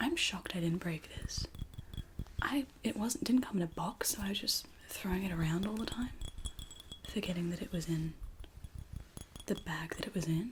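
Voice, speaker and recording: This soft-spoken woman talks at a medium pitch, leaving long, frequent pauses. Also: lively intonation, moderate pace. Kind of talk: ASMR show and tell haul. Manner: excited, upbeat.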